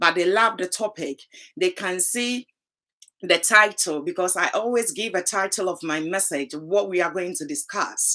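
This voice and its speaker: The speaker has a Ghanaian accent. The tone is bright and sharp. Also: woman, medium pitch for a woman, ordinary pitch variation, moderate pace. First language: Twi. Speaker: talk show host. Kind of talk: live talk show.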